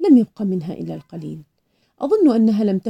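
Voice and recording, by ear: Reading aloud in a natural voice, with a quiet background.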